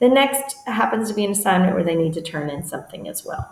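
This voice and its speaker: Noticeable noise sits behind speech delivered at a fairly quick clip. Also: woman. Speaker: teacher and edtech trainer. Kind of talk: screen-share tutorial. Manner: fast.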